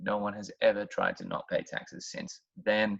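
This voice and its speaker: Dry, close, echo-free sound of a man with an Australian accent. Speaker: history teacher. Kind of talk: educational talk. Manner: conversational, sarcastic asides.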